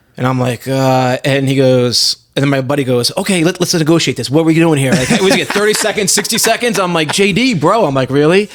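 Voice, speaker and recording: Talking at a very fast pace with hardly any pauses, a man with an American accent uses lively intonation and a fairly high pitch. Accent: Boston accent, slips out at times. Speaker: physical therapist and cannabis entrepreneur. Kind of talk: casual chat. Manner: animated storytelling.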